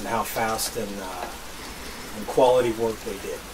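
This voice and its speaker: Noticeable background noise runs under the recording. A man talks at a moderate pace. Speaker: homesteading vlogger. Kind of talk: casual vlog chat. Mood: proud, pleased. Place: open country. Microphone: camera far.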